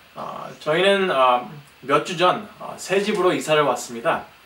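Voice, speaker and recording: Amid noticeable background noise and audible room echo, a man with a non-native accent speaks at a fairly slow pace. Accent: non-native Korean. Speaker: guest preacher. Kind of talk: sermon. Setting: church. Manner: halting.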